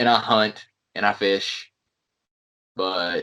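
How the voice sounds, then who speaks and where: Speaking at a very slow pace with a North Carolina accent, a man with a fairly low pitch and a bright, sharp tone keeps a monotone, flat intonation. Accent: North Carolina Southern. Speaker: pro wrestler. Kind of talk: casual chat.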